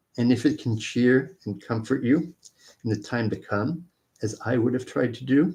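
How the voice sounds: Against a quiet background, this is a natural reading voice with ordinary pitch variation.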